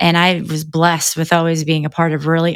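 A woman's very deep, low voice with a Midwestern American accent, in a very clean recording with a silent background. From US Midwest (Northeast Indiana). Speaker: realtor. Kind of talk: casual interview.

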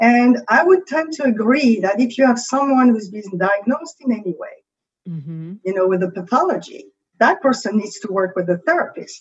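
A woman's fairly high, somewhat breathy voice in a French accent, fairly quick and full of very wide pitch swings. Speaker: creativity coach. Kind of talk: podcast interview.

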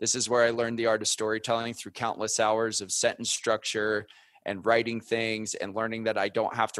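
With an American accent, a man talks at a fairly quick pace in a fairly low pitch. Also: quiet background. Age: 30s. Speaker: former Marine turned podcast media founder. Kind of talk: interview conversation.

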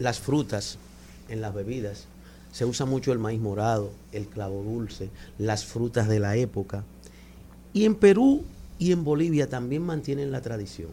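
The voice is dark, mellow and somewhat breathy, with lively intonation. It moves at a fairly slow pace, broken by long, frequent pauses. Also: man, medium pitch for a man. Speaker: cultural manager. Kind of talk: radio interview. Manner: soft-spoken. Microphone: too far from the mic.

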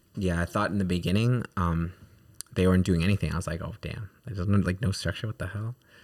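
A man with a very deep, low pitch speaks very fast, keeping his intonation fairly even. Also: very clean recording, silent background. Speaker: podcast host and parent. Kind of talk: casual chat.

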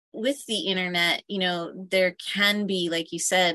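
A woman with a normal speaking voice talks at a moderate pace and medium pitch, with a dry, close sound and no echo. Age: 50s. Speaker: entrepreneur. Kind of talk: casual chat. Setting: on a sailboat.

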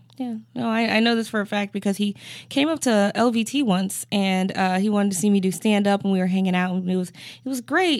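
A woman in an ordinary speaking voice, medium in pitch, fairly quick with hardly any pauses and ordinary pitch variation, on a very clean recording with a silent background. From Cleveland, Ohio. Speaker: stand-up comedian. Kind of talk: casual chat. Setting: studio.

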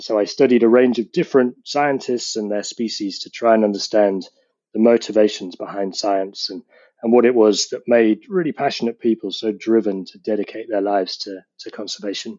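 A man with a British accent speaks at a medium pitch and a fairly quick pace, with ordinary pitch variation and big swings in loudness. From UK, between London and rural Scotland. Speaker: geography professor. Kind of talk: interview.

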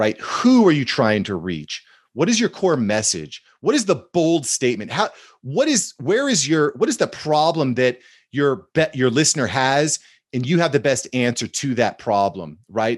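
Over a quiet background, a man with medium pitch and vocal fry talks at a moderate pace with very wide pitch swings. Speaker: social media content expert. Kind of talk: casual interview chat.

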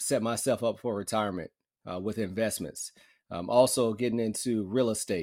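A man's plain, everyday voice at medium pitch, with ordinary pitch variation, on a very clean recording with a silent background. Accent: American. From US South, northern Alabama. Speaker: orthopedic surgeon. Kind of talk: interview.

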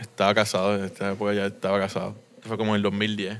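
A man's fairly low voice with a bright, sharp tone and monotone, flat intonation. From Puerto Rico and US mainland. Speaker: brewery co-founder. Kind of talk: interview conversation. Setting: beer shop.

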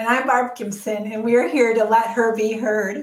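Using a put-on character voice, a woman speaks at a moderate pace with a fairly high, raspy pitch. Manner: giggly, amused.

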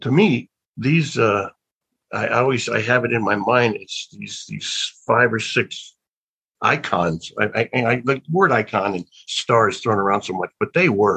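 A man with an American accent talks fairly slowly at a medium pitch, with lively intonation and a bright, sharp tone. The sound is dry and close, with no echo. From US South (Alabama). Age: 60s. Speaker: actor. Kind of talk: interview. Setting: video call.

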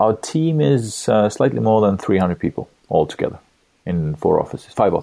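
A man's fairly low voice with a dark, mellow tone, very wide pitch swings, very even loudness and a moderate pace. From Estonia. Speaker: tech company founder and CEO. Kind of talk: interview.

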